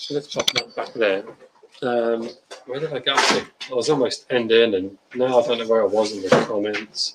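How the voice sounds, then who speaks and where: Here a man speaks with an English accent. His intonation stays fairly even. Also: medium pitch for a man, moderate pace. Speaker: beer reviewer. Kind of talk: livestream chat.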